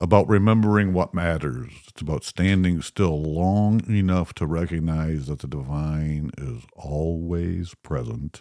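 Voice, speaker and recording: On a very clean recording with a silent background, a man with a very deep, low pitch and a dark, mellow tone speaks at a fairly slow pace with ordinary pitch variation and hardly any pauses. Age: 60s. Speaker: podcast host. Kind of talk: casual faith podcast chat.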